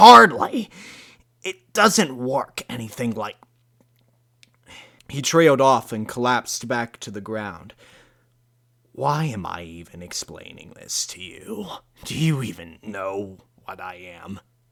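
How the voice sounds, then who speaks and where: A put-on character voice at a fairly slow pace, with very wide pitch swings, big swings in loudness, and long, frequent pauses. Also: man, medium pitch for a man. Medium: read story. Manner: slow, spluttering.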